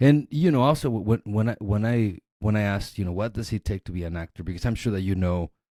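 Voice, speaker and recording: Talking at a very fast pace with hardly any pauses, a man with a Spanish accent has a fairly low pitch and a dark, mellow tone, heard in a dry, close sound with no echo on a very clean recording with a silent background. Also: ordinary pitch variation. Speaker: podcast host. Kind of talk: casual interview chat.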